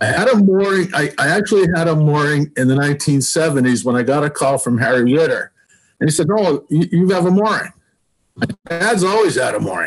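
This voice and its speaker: Talking at a fairly quick pace in a plain, everyday voice, a man with an American accent uses a fairly high pitch, lively intonation and very even loudness. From Massachusetts (South Shore). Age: 60s. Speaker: sailing club member proposing a pier. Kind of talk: public meeting presentation.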